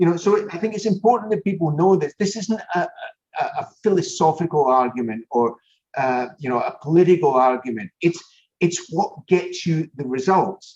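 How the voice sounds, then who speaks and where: Here a man speaks in a Scottish accent. His pitch is high. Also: moderate pace. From Scotland. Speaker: business consultant and show host. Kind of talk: interview conversation.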